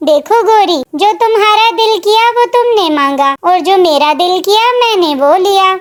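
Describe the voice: A woman's cartoonish character voice, extremely high in pitch, with lively intonation at a moderate pace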